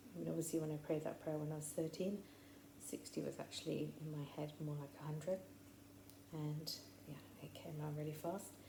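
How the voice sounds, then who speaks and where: A woman speaks in an English Midlands accent with a very deep, low pitch and ordinary pitch variation. Her pace is fairly quick despite long, frequent pauses, and the room echo is audible. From English Midlands, near Coventry. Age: 60s. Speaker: faith podcaster. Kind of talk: personal testimony monologue. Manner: chatty, rambling with fillers.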